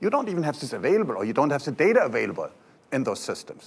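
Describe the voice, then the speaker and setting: A man speaks at a high pitch with a German accent. His pitch swings very widely. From Germany. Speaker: software company presenter. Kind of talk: conference talk.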